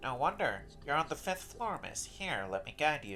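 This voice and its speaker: Over clear background noise, a man performs a put-on character voice. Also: moderate pace. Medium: read story. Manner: polite, formal.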